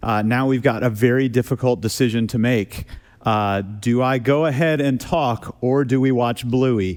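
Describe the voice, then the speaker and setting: A man's normal speaking voice, medium in pitch, with ordinary pitch variation and a moderate pace. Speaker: pastor. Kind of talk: church sermon delivered to a congregation.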